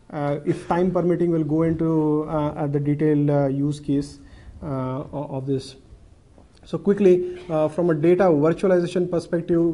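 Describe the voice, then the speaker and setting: A man with a dark, mellow tone speaks in a flat monotone at a moderate pace, with audible room echo. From India. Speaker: banking technology manager. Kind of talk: conference presentation. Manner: halting with many fillers.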